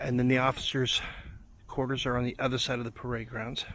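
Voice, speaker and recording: A man at a moderate pace and medium pitch, his intonation monotone and flat. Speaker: video blogger giving a walking tour. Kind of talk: casual tour narration. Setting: outdoors at a historic fort. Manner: soft-spoken, talking quietly.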